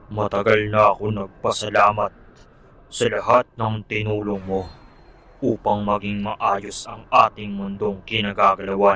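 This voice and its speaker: Using a cartoonish character voice, a man speaks at a fairly low pitch and a fairly slow pace. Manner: solemn, grave.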